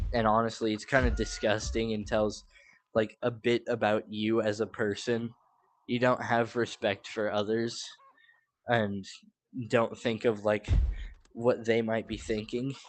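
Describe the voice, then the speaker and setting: This man talks at a medium pitch and a fairly slow pace. His intonation is monotone and flat, broken by long, frequent pauses. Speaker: gaming streamer. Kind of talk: casual live stream commentary. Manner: filler-heavy, halting.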